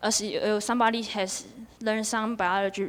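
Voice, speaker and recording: Her voice is fairly high in pitch. This woman speaks at a moderate pace. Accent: Chinese. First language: Chinese. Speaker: student debater. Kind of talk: debate presentation. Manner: halting.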